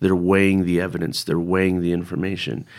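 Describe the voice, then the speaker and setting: Recorded very cleanly against a silent background, a man with a Californian accent speaks at a very deep, low pitch. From US West Coast, San Francisco Bay Area. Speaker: preacher. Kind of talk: interview. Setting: studio.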